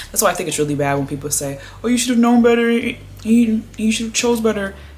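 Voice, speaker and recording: Female speech full of very wide pitch swings, noticeable background noise present. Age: 20s. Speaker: vlogger. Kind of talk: casual chat. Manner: fast.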